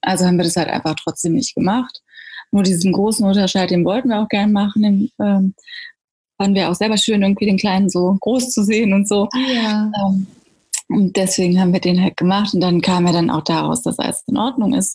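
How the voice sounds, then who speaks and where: Woman at medium pitch, somewhat breathy with a dark, mellow tone, fairly quick pace and very even loudness. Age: 30s. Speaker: mother sharing birth story. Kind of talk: interview about personal birth experience.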